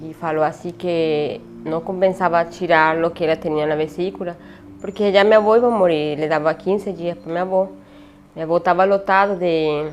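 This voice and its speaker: Against noticeable background noise, a woman with a Spanish accent speaks at a moderate pace, her pitch fairly low and her intonation fairly even. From Venezuela. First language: Spanish (speaking Portuguese). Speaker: refugee telling her story. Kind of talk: interview testimony. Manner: halting, many hesitations.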